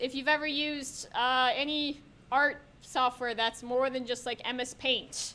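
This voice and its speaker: A woman speaks in a raised, projected voice with a bright, sharp tone and a high pitch. Her pitch varies in an ordinary way, and her pace is fairly slow. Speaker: workshop presenter at a college game dev club. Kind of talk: live software tutorial workshop. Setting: room with live audience and microphones. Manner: loud; casual, filler-heavy with many ums.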